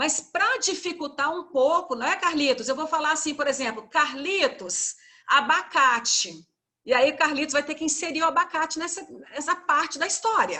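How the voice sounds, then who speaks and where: A woman speaks at a moderate pace in a high, bright, sharp voice, raised and projected, with lively intonation. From Goiânia, Brazil (Centre-West). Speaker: university teacher leading a training session. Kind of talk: workshop instructions. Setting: video call.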